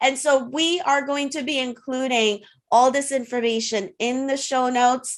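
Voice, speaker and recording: Her voice is high-pitched and animated. The woman speaks against a quiet background. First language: French. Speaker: podcast host. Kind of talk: interview wrap-up.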